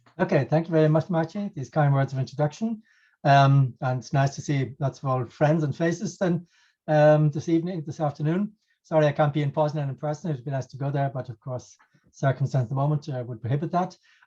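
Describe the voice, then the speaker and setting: A man rattles along at a very fast pace in a fairly high, somewhat breathy voice. His tone is dark and mellow, and the background is quiet. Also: ordinary pitch variation. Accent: Irish. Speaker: professor. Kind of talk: lecture. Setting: video call. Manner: hesitant.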